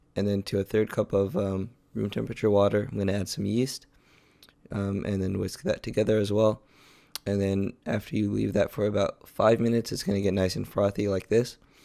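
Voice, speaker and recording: A man speaks at a fairly quick pace in a fairly low pitch, his intonation monotone and flat. His tone is dark and mellow. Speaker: college student home cook. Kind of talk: cooking video voice-over commentary. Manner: hesitant, many filler words.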